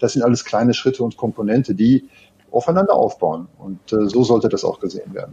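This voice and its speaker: A somewhat breathy, medium-pitched man, fairly quick and with lively intonation. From Ruhr area, Germany (Gelsenkirchen). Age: 50s. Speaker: tech company co-founder and sales lead. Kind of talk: interview.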